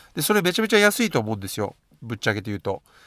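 A man at a very fast pace, very wide pitch swings, dry, close sound with no echo. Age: 40s. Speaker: podcaster and beatmaker. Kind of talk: casual solo podcast monologue. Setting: at work during lunch break.

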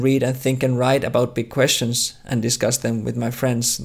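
Speaking with a Finnish accent, a man keeps a medium pitch and a moderate pace. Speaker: theology researcher. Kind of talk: interview. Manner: halting.

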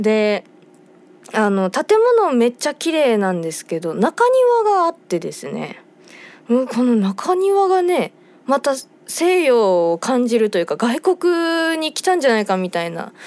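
Her tone relaxed, a woman with a high pitch speaks at a fairly slow pace, her pitch swinging very widely. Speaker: band vocalist and radio host. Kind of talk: radio talk show monologue. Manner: relaxed, leisurely.

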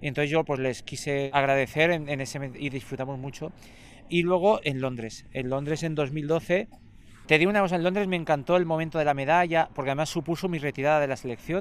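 At a fairly quick pace, a man with a fairly high pitch talks, his pitch varying in an ordinary way. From Andalusia. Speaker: blind football player and secondary school teacher. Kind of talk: interview conversation. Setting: outdoors in a park. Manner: calm.

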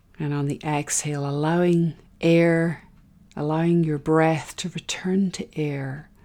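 A woman speaks fairly slowly in a very deep, low pitch, her dark, mellow tone calm and soothing, with monotone, flat intonation. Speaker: meditation guide. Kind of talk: guided meditation. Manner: slow, calm, soothing, with long pauses between cues; gentle, soft-spoken, instructive.

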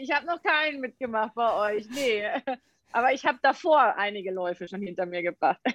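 Lively intonation from a woman with a normal speaking voice, fairly high pitch and moderate pace, in a dry, close sound with no echo. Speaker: sports scientist and fitness trainer. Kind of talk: casual interview. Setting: video call.

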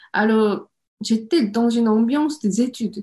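Speaking with a Korean accent, a woman with a fairly high, somewhat breathy voice uses ordinary pitch variation. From South Korea, Seoul. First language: Korean (speaking French). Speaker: home cook and online cooking creator. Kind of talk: interview.

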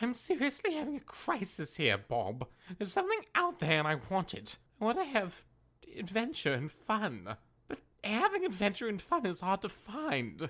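At a moderate pace, a put-on character voice speaks at a fairly high pitch. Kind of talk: comedy audio drama. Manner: fussy, anxious, polite.

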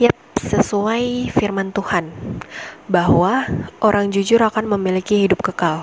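Through noticeable background noise, a woman speaks at a fairly slow pace and medium pitch, with ordinary pitch variation. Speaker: university student devotional podcast host. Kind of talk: casual devotional talk.

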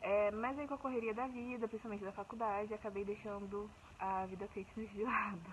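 A woman with a fairly high voice talks at a fairly quick clip in fairly even intonation, over noticeable background noise. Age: 20s. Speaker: fitness program client. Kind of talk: testimonial.

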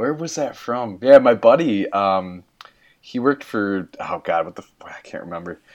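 At a moderate pace against a quiet background, an unremarkable speaking voice moves with lively intonation and big swings in loudness. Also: man, medium pitch for a man. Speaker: guest podcaster. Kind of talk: casual chat.

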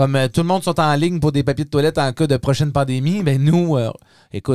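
Recorded very cleanly against a silent background, this fairly quick, animated delivery has a dry, close sound with no echo. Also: man. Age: 30s. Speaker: podcast host. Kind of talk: casual chat.

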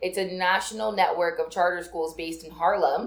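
This woman talks at a moderate pace and a medium pitch, with audible room echo. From Nigerian heritage. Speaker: podcast co-host. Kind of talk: casual chat.

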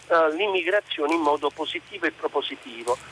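This man speaks in an ordinary speaking voice at a fairly high pitch, moving at a fairly quick pace with ordinary pitch variation in a dry, close recording with no echo. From Naples, southern Italy. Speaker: radio caller. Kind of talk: phone-in call. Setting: phone call.

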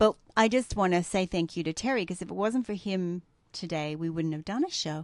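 In an Australian accent, a woman with a medium pitch and ordinary pitch variation speaks at a fairly quick pace against a quiet background, in a dry, close sound with no echo. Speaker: podcast co-host. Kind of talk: casual chat.

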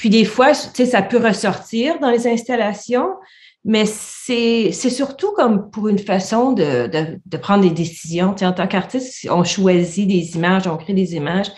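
A woman speaks at medium pitch with lively intonation. Her voice sounds somewhat breathy. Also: fairly slow pace. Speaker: visual artist and university lecturer. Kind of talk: casual interview.

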